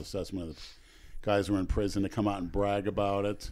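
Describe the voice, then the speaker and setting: An unremarkable speaking voice with an American accent comes at a fairly quick pace on a very clean recording over a silent background. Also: man. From Oakmont, US. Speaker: podcast co-host and video creator. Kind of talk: casual chat.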